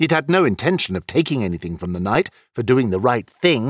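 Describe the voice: The clip is plain reading aloud.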